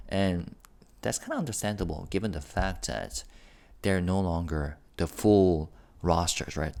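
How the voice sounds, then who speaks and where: A man speaks quietly. His pitch is very deep and low. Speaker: K-pop news youtuber. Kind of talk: casual commentary. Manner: quiet and low; halting, many fillers.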